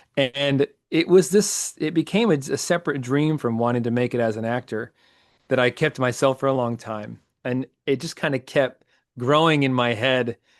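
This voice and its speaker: On a dry, close recording with no echo, a man with an American accent and a plain, everyday voice speaks at a moderate pace and medium pitch, with ordinary pitch variation. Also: quiet background. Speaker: ring announcer; former professional theater actor. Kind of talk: interview answer.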